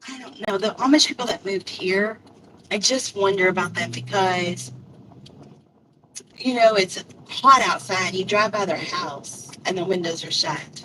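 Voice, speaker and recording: Over noticeable background noise, a woman speaks at a fairly slow pace with long, frequent pauses and ordinary pitch variation. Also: medium pitch for a woman. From Louisville, Kentucky. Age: old. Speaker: live streamer and delivery driver. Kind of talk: casual chat. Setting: live stream. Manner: rambling, conversational.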